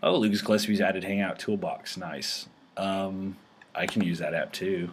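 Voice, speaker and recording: Moderate pacing from a man, noticeable background noise behind him. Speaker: tech show host. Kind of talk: casual video chat tutorial. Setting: video call. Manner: halting, filler-heavy.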